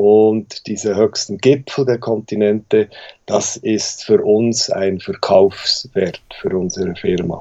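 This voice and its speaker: A man at a fairly low pitch, with fairly even intonation and a very slow pace. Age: 40s. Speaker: mountain guide and expedition business owner. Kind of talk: interview.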